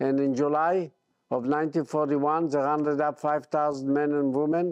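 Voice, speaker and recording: Against a quiet background, a man with fairly high pitch speaks at a moderate pace in a monotone, flat intonation. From Poland, Bialystok. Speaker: Holocaust survivor. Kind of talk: testimony. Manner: halting.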